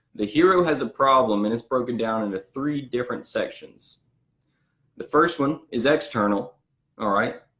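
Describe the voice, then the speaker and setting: A man with a Southern US accent speaks in a bright, sharp tone with ordinary pitch variation. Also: medium pitch for a man, moderate pace. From US South. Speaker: business owner and marketing coach. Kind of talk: storytelling business talk. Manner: animated.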